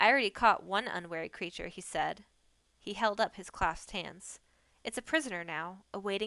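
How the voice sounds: This is a natural reading voice. The words are simply read.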